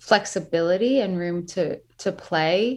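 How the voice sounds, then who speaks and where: A woman speaks at a fairly slow pace with a slight New York accent. Her medium pitch shows ordinary variation against a quiet background. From US Northeast. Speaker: singer-songwriter. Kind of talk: casual interview.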